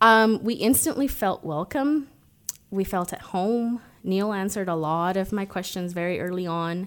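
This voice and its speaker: On a very clean recording with a silent background, a woman with an American accent speaks at a medium pitch with ordinary pitch variation. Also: moderate pace. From Mexico and the US. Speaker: photographer sharing her faith story. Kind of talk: testimony.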